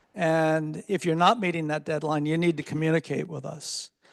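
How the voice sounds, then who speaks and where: An unremarkable speaking voice from a man, fairly high in pitch, at a moderate pace over a quiet background. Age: 60s. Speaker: architecture professor. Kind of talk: closing remarks to students.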